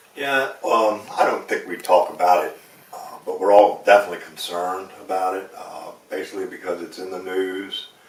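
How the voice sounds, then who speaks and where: Amid noticeable background noise, a man speaks at a moderate pace with big swings in loudness. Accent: American. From Eastern Shore of Maryland, USA. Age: 60s. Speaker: commercial fisherman, waterman association president. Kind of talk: interview answer.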